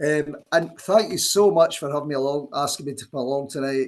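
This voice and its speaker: A man speaks with a Scottish accent. His pitch is fairly high. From Scotland. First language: Scots. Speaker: poet. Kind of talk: poetry reading event with commentary.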